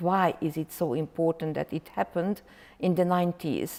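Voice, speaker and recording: The voice has a dark, mellow tone and a Hungarian accent. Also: woman. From Hungary. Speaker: professor. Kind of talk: lecture. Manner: loud; halting, many fillers.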